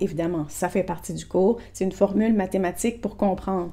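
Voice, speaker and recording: Woman's voice with a dark, mellow tone at a moderate pace. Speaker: therapist selling an online program. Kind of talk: informal program presentation to camera. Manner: casual, with frequent self-corrections and repetitions.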